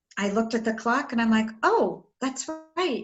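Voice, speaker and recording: The voice belongs to a woman and is somewhat breathy. It sits at a fairly high pitch. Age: 60s. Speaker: author and spiritual mentor. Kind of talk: interview conversation.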